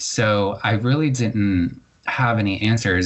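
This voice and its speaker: Here is an ordinary speaking voice with an American accent and ordinary pitch variation. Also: man. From Florida, Largo in Pinellas County. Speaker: poet and journalist. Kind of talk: interview conversation. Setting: podcast interview.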